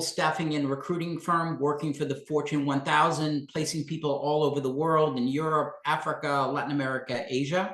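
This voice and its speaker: A man talks at a moderate pace with fairly even intonation and a fairly high pitch. It is an ordinary speaking voice. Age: 60s. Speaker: career coach. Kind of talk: live webinar Q&A presentation. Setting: LinkedIn live stream.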